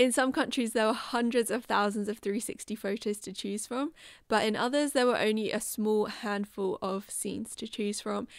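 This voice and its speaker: In a very clean recording with a silent background, a woman speaks with a British accent. Her pitch is fairly high, her intonation fairly even, her pace moderate. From UK. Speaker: artist, video creator. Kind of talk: casual vlog narration.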